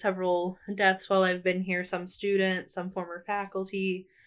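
A woman's medium-pitched, monotone, flat delivery at a moderate pace against a quiet background. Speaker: student journalist, editor-in-chief. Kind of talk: casual chat.

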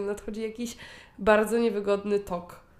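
An unremarkable speaking voice from a woman at medium pitch, at a moderate pace. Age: 20s. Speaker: podcast co-host. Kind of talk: casual chat.

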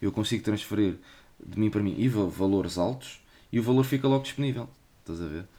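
A man with a dark, mellow tone speaks at a fairly low pitch with ordinary pitch variation and a fairly quick pace, broken by long, frequent pauses. The recording is very clean with a silent background. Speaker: podcast host. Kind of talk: casual chat.

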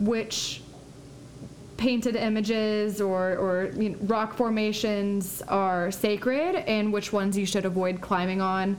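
A woman at a very slow pace, with fairly even intonation and audible room echo. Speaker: podcast host. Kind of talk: casual chat.

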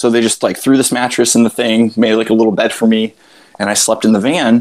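A man with an American accent talks at a fairly quick pace in a plain, everyday voice of medium pitch. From Florida. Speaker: ultramarathon runner. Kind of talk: casual chat. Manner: casual, many fillers.

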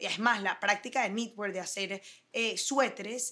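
The woman has a plain, everyday voice with a medium pitch. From Venezuela, Caracas. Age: 30s. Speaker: fashion designer. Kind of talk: interview. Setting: office.

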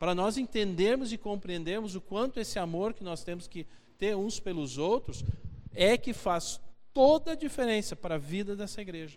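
Speaking with a Brazilian accent, a man uses a high pitch and lively intonation. His pace is moderate. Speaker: preacher. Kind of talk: sermon, expository Bible teaching to a congregation, with a closing prayer. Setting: church. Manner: earnest and conversational, pausing to repeat key phrases for emphasis; direct, exhorting the listeners, with rhetorical questions.

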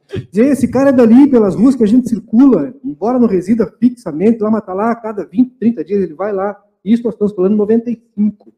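With a dark, mellow tone and a high pitch, a man talks at a fairly quick pace with ordinary pitch variation and hardly any pauses. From Santana do Livramento, Rio Grande do Sul, Brazil. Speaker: co-host and musician. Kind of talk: casual chat.

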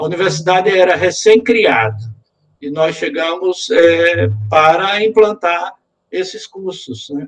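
A very slow pace with lively intonation and big swings in loudness. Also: man. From Sergipe, Northeast Brazil. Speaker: retired engineering professor. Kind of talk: interview.

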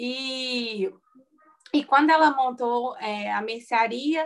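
A woman is speaking. Her pitch is high. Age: 20s. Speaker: small business owner and course instructor. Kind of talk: interview.

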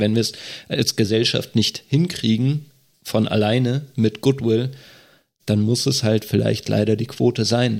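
An ordinary speaking voice from a man, medium-pitched and fairly slow, with fairly even intonation and very even loudness on a very clean recording with a silent background. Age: 30s. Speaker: state election candidate, deacon and nurse. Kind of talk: casual podcast discussion.

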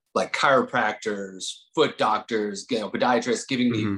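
This man talks at a moderate pace with fairly even intonation in an unremarkable speaking voice. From Lake Tahoe, California / Nevada (moved from New Jersey at 8). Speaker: personal trainer and gym owner. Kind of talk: casual interview.

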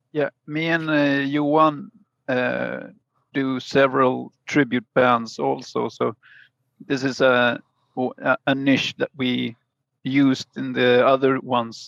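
A man talks at a very slow pace with long, frequent pauses, in a Swedish accent at a medium pitch. His intonation is fairly even, and the sound is dry and close with no echo. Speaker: musician. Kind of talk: casual chat. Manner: halting.

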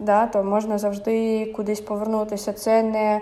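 Her pitch sits at medium height. This woman talks at a fairly slow pace. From Ukraine, Kyiv. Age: 30s. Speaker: YouTuber and emigrant. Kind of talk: interview. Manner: halting, many fillers.

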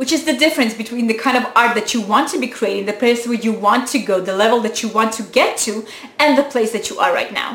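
An animated woman with a non-native accent, amid noticeable background noise. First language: not English. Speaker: YouTuber. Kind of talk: motivational talk to camera.

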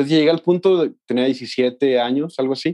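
Speaking at a fairly slow pace, a man uses a fairly high voice with a dark, mellow tone. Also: dry, close sound with no echo. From Mexico, Los Altos de Jalisco. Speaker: music student and band trombonist. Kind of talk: casual interview.

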